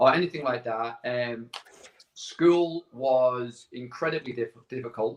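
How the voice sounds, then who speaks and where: With a northern English accent, this voice moves at a fairly slow pace with ordinary pitch variation. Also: man. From northern England, Barrow-in-Furness, Cumbria. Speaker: entrepreneur sharing life story. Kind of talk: casual interview.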